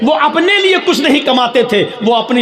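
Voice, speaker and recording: A man's extremely high voice with lively intonation, amid noticeable background noise and audible room echo. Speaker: Islamic preacher. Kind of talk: religious speech. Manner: slow, deliberate.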